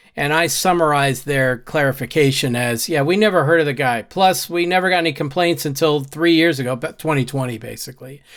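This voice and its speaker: This man has an unremarkable speaking voice, fairly high in pitch with ordinary pitch variation. The recording is very clean, with a silent background. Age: 60s. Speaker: YouTuber and software trainer. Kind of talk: casual commentary reading own newsletter. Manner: conversational.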